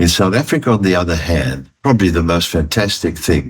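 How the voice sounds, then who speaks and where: Speaking at a fairly quick pace, a man with a very deep, low pitch and vocal fry shows ordinary pitch variation. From Italy, raised in South Africa. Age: 80s+. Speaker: retired chartered accountant and business executive. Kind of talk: interview answer.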